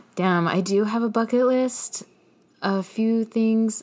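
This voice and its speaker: A woman with an American accent, her pace fairly slow and her intonation fairly even. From Inland Empire, Southern California. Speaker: podcast guest, musician and educator. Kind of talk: casual interview, telling life story.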